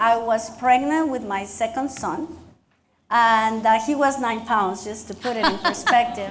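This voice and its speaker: A woman with a Mexican accent speaks at a fairly slow pace with ordinary pitch variation, and the room echo is audible. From Mexico. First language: Spanish. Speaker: county commissioner and dentist. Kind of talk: speech at luncheon, onstage interview. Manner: animated.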